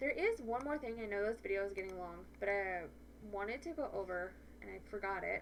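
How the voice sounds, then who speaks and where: A woman speaks over noticeable background noise. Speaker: photography educator. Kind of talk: tutorial. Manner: fast; animated.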